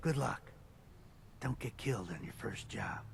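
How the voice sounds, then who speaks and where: A man whispers in a raspy, put-on character voice at a moderate pace. Clear background noise is present. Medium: video game. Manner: curt, matter-of-fact.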